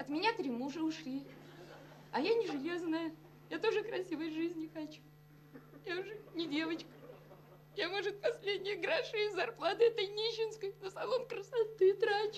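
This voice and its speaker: Pausing long and often at a moderate pace, a woman speaks at an extremely high pitch over light background noise. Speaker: sitcom actress. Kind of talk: acted dialogue, emotional monologue. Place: office.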